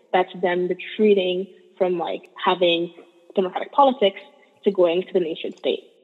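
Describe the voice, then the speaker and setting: Over noticeable background noise, a woman speaks at a moderate pace with medium pitch and fairly even intonation. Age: 20s. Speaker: economics graduate student. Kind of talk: interview conversation.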